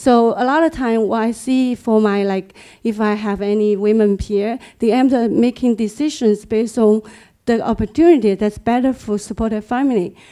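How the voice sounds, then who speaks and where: A woman with a Chinese accent speaks at a moderate pace and a fairly high pitch, her tone dark and mellow. Her intonation is fairly even, and the background is quiet. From China. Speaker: engineer; panelist. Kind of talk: audience comment. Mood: earnest, personal. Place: meeting room. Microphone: handheld.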